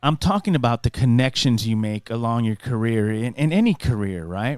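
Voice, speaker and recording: With music in the background, a man speaks at a medium pitch and moderate pace with ordinary pitch variation, in a dry, close sound with no echo. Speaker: podcast host, former radio broadcaster. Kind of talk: casual solo podcast monologue. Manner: conversational, halting with fillers.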